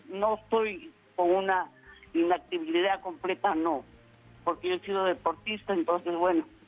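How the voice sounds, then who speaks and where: Woman at a medium pitch and fairly slow pace, with music in the background. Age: 80s+. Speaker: caller. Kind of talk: call-in question. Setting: phone call.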